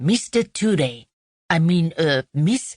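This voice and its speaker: In a put-on character voice, the speaker holds a middle pitch. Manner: pompous, startled, hesitant.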